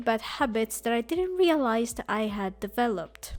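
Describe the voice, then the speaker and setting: A woman speaks at a fairly slow pace with very wide pitch swings. The recording is very clean, and the background is silent. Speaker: digital illustrator. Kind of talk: casual talk to camera.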